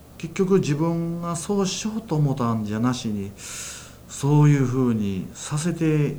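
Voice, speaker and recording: A somewhat breathy man with a fairly high pitch, a dark, mellow tone, and very wide pitch swings speaks at a fairly slow pace with audible room echo. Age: 60s. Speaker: church minister, former care worker. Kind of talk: testimony.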